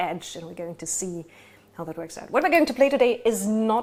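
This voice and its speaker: A woman with a German accent speaks at a fairly high pitch. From Germany. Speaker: game master. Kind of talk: tabletop game session intro. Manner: hesitant, many fillers.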